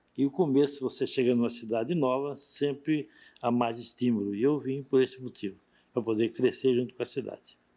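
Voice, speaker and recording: An ordinary speaking voice at a fairly quick pace with fairly even intonation. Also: man, medium pitch for a man. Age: 60s. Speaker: pioneer shopkeeper interviewee. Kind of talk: oral history interview.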